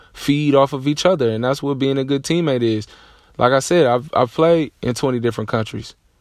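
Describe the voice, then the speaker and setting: Here a man speaks at a medium pitch with fairly even intonation. His is a normal speaking voice at a fairly quick pace. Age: 30s. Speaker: podcast host, basketball coach. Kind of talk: solo sports commentary monologue. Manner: casual, filler-heavy.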